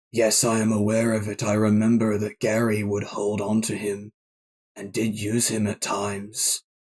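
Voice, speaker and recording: A man uses a put-on character voice, fairly low in pitch and monotone, with flat intonation. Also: moderate pace. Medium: actual play. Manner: formal, measured, solemn.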